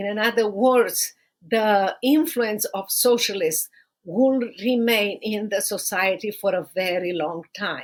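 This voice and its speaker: A woman speaks with a Romanian accent in a fairly high pitch. She talks at a very slow pace with ordinary pitch variation. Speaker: podcast host and human rights attorney. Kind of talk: podcast monologue. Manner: halting.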